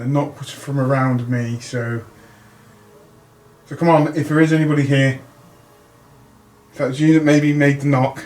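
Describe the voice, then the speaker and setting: A quiet voice speaks at a moderate pace in monotone, flat intonation, with long, frequent pauses. Noticeable background noise runs underneath. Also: man, fairly high pitch for a man. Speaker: paranormal investigator. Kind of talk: ghost hunt narration. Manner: halting.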